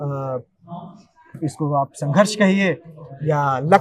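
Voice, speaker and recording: Ordinary pitch variation marks a man's fairly high-pitched speech. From India, Rewa, Madhya Pradesh. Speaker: actor. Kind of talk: interview.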